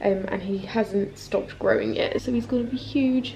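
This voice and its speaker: A woman with a southern English accent speaks at a moderate pace against noticeable background noise. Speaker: lifestyle vlogger. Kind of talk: casual vlog talk. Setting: at home.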